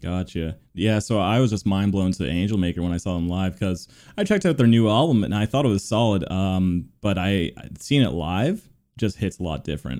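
A man speaks at a fairly quick pace in a fairly low pitch, his dark, mellow tone showing ordinary pitch variation on a very clean recording with a silent background. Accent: Canadian. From Canada, Oshawa, Ontario. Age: 30s. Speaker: podcast host. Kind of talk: casual chat.

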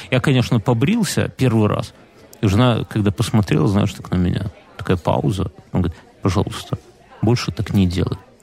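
Against noticeable background noise, a man with a fairly low pitch talks at a fairly quick pace, broken by long, frequent pauses. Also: ordinary pitch variation. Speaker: podcast co-host. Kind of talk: casual chat.

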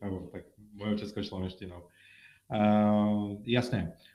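This is a man with a fairly low-pitched voice. He talks at a moderate pace. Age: 30s. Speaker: mortgage specialist. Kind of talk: live-stream monologue with viewer Q&A. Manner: halting.

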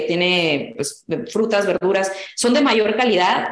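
Against noticeable background noise and audible room echo, a woman of medium pitch speaks at a fairly slow pace with ordinary pitch variation. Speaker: agronomy entrepreneur. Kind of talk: interview.

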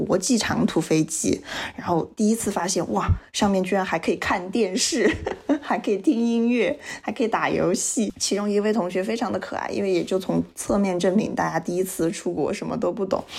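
With noticeable background noise, a woman talks at a fairly quick pace in an animated tone, her medium pitch showing ordinary variation. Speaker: podcast co-host. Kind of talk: casual chat.

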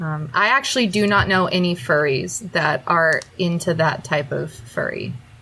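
Her fairly low voice carries vocal fry and a bright, sharp tone as the woman moves at a moderate pace with lively intonation and hardly any pauses. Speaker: podcast co-host. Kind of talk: casual chat.

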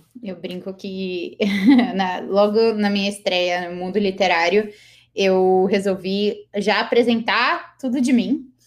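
Very slow speech from a woman at medium pitch, with ordinary pitch variation. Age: 20s. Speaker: author. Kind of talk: interview.

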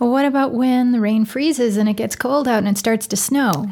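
Somewhat breathy and dark, mellow in tone, a woman with an American accent speaks with ordinary pitch variation. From Wisconsin. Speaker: podcast co-host. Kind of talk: casual interview chat.

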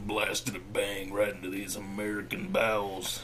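Doing a put-on character voice, a man speaks at a moderate pace with a fairly low pitch over clear background noise. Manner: hammy, advertising delivery.

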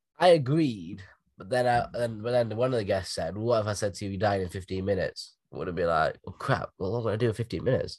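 A man with a Derbyshire accent at a medium pitch, talking very fast with ordinary pitch variation over a quiet background. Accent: northern English (Derbyshire). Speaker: podcast host. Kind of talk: casual chat. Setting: video call.

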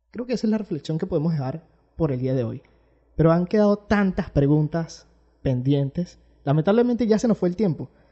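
A man's dark, mellow voice with a Venezuelan accent, a high pitch, lively intonation and a fairly quick pace. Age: 20s. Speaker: podcast host. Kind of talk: casual interview chat.

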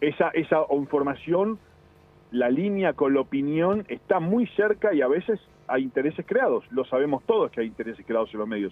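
Fairly quick male speech, pitched fairly high, its pitch swinging very widely. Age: 50s. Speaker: TV foreign correspondent. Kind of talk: interview. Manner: formal journalistic tone.

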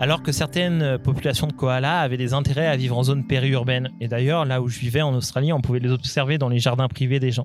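With music in the background, a man at medium pitch speaks at a very fast pace with hardly any pauses, very even loudness and fairly even intonation. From Paris region, France. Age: 20s. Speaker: activist and university lecturer. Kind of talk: personal storytelling interview.

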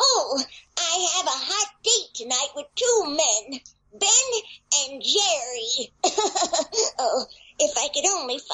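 A female-sounding voice takes on a put-on character voice at an extremely high pitch with very wide pitch swings. It moves at a very slow pace, broken by long, frequent pauses. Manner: kooky, playful.

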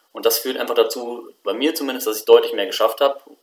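A man talks at a very fast pace. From Germany, Bonn. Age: 20s. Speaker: doctoral student and book author. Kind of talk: podcast interview.

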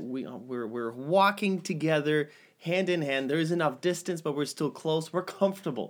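A man with a plain, everyday voice talks at a moderate pace with hardly any pauses, a fairly high pitch and ordinary pitch variation, on a very clean recording with a silent background. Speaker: podcast host. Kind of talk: casual banter podcast chat. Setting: home studio. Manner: joking, playful, frequently interrupting.

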